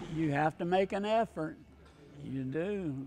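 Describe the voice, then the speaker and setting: A man with a Southern US accent talks at a moderate pace against light background noise. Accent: Southern American. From Winston-Salem, North Carolina. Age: 80s+. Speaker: retired golfer. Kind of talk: interview answer. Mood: warm, grateful. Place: gym. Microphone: lapel.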